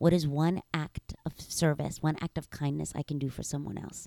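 A woman speaks at a moderate pace with a very deep, low pitch and a dark, mellow tone. Her intonation stays fairly even, and the sound is dry and close with no echo. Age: 30s. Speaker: author and motivational speaker. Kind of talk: casual chat.

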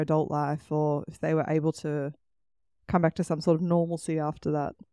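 A woman with an Australian accent speaks at a moderate pace in a fairly low pitch, her dark, mellow tone held to a monotone, flat intonation. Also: very clean recording, silent background. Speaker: podcast host. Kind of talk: casual chat.

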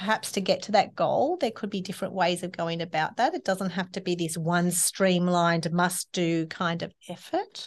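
With an Australian accent and a medium pitch, a woman talks at a moderate pace against a quiet background. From Australia (Sydney). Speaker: eco-living facilitator. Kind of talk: casual interview chat. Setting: podcast studio at a library.

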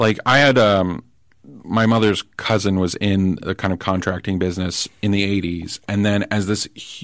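Here a man uses a normal speaking voice at a moderate pace with ordinary pitch variation, recorded very cleanly against a silent background. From New Jersey, US. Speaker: political commentator. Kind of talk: casual chat. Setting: studio.

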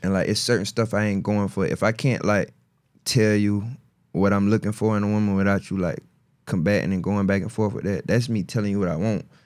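On a very clean recording with a silent background, a man with a South Carolina accent speaks at a fairly low pitch with fairly even intonation. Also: fairly quick pace. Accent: Southern US, South Carolina. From US South, South Carolina (Marion). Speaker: battle rapper. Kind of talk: casual chat.

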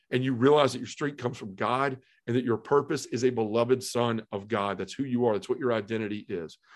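Against a quiet background, a man with a Tennessee accent talks at a very fast pace. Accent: Southern US (Tennessee). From US South, Memphis, Tennessee. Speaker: podcast host and recovering addict. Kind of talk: testimony.

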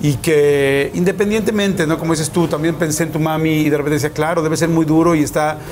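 Very fast talk from a man at a fairly high pitch, fairly even in intonation, against noticeable background noise. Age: 40s. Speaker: interviewer. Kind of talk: interview; show intro to camera. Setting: Monterrey.

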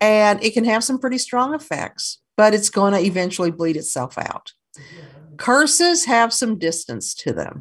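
A woman talks at a moderate pace and a fairly high pitch, somewhat breathy. Her pitch swings very widely. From US South, Kentucky. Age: 60s. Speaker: author and folk magic practitioner. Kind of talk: interview.

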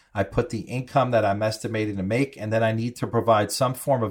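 His is an ordinary speaking voice: a man at a medium pitch with fairly even intonation. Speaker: Medicare insurance expert. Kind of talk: informative interview, explaining.

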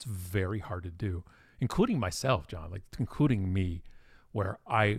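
The voice is somewhat breathy. The recording is very clean, with a silent background. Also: man. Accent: Canadian. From Ontario, Canada (Toronto suburbs). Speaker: marketing company president, speaker. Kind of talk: interview conversation.

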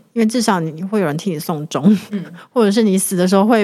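A woman talks very fast, her medium-pitched voice showing ordinary pitch variation. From Taiwan, Hualien. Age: 30s. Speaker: guest co-host, writer. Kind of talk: casual chat.

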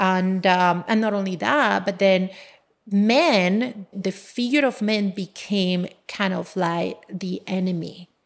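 A woman with a Colombian accent speaks at a medium pitch with ordinary pitch variation. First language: Spanish. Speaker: engineer and business owner. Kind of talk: casual interview conversation, personal storytelling.

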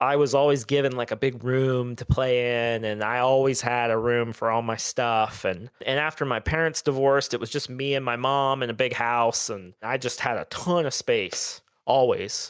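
With an American accent, a man has a normal speaking voice at medium pitch and fairly even intonation. His pace is moderate, with hardly any pauses. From US Midwest, Southern Ohio. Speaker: author and artist. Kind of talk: casual interview.

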